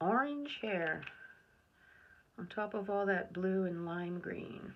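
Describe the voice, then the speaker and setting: Mumbling in a relaxed tone at a very slow pace, a woman speaks at a medium pitch with ordinary pitch variation, and the room echo is audible. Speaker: art video creator. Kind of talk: painting tutorial, thinking aloud. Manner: relaxed, self-talk.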